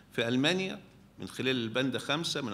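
A bright, sharp tone with lively intonation over light background noise. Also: man. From Egypt. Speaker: media professor. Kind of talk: symposium panel talk. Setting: stage with audience. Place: hall. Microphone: podium.

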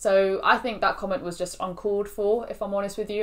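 Words come from a woman at a very fast pace. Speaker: student vlogger. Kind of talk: casual vlog chat. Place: home room.

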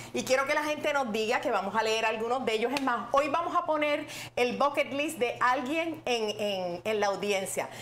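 Over light background noise, a woman talks in a high pitch with lively intonation. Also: moderate pace. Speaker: online show host. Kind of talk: casual livestream chat. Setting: livestream with guests in studio. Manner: animated, excitable. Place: studio. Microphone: lapel.

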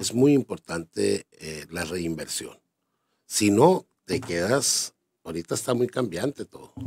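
A man speaks at a fairly slow pace with lively intonation. His loudness swings widely, over light background noise. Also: fairly low pitch for a man. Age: 50s. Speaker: business owner; interviewee. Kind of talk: interview. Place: studio. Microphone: studio mic.

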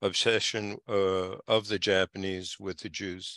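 The voice holds a monotone, flat intonation at a fairly slow pace. The sound is dry with no echo, and the background is quiet. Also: man. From Japan (Kobe). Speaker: community historian speaker. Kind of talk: online lecture with slides. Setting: video call. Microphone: video call.

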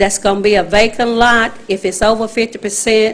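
A woman talks in a Southern US accent. Her pitch is fairly high and her intonation fairly even. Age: 60s. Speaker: resident speaking at public hearing. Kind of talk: public comment at council meeting.

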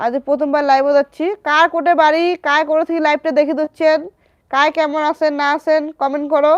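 Monotone, flat intonation in a dry, close sound with no echo. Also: woman, high pitch for a woman. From India, West Bengal, Alipurduar district. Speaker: social media creator. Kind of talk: livestream chat with viewers.

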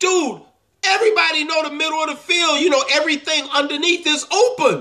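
Against a quiet background, a man speaks in a raised, projected voice with ordinary pitch variation. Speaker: football fan. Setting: home video, monologue to camera while game is on. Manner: stammering and halting when upset, stumbling over words. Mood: angry, exasperated.

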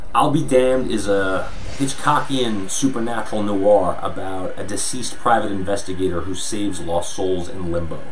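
Music plays in the background as a man with a fairly low pitch talks at a moderate pace with ordinary pitch variation. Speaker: filmmaker. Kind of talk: crowdfunding pitch.

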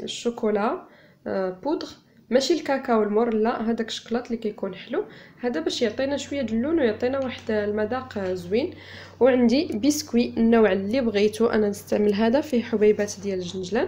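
Her pace fairly quick, a woman talks with ordinary pitch variation. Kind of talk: tutorial. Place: home room.

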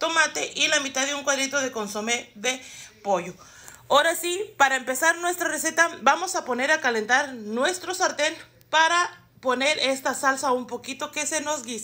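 A woman speaks in a raised, projected voice at a moderate pace with ordinary pitch variation. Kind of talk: tutorial. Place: kitchen. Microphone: phone near.

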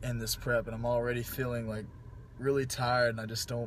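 A man's voice, dry with no echo, amid noticeable background noise. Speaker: fitness vlogger. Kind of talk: casual vlog chat. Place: car. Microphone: phone near.

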